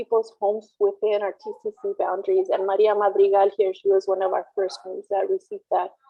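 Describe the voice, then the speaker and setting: A woman talks at a fairly quick pace with hardly any pauses, her loudness swinging widely. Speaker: community organizer. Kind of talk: panel presentation.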